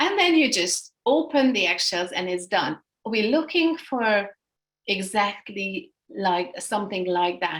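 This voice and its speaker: A woman speaks at a fairly slow pace in a Hungarian accent. Her pitch makes very wide swings. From Hungary. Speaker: energy healing instructor. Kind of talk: workshop instruction. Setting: video call. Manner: halting.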